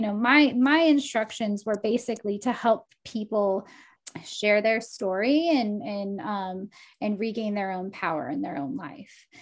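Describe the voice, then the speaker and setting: A woman with an ordinary speaking voice, fairly high in pitch, at a fairly slow pace with lively intonation, on a very clean recording with a silent background. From Texas. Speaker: life coach and oracle. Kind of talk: casual interview chat.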